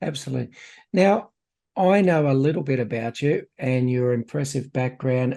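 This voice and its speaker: A man with an Australian accent talks at a moderate pace. His tone is dark and mellow, and his pitch is medium. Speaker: podcast host. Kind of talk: podcast interview.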